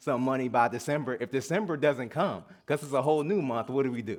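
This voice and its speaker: With a slight Southern US accent, a man talks in an animated tone. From US South (Atlanta) and New Jersey. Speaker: guest minister. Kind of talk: sermon. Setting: church service with congregation. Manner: animated, call-and-response.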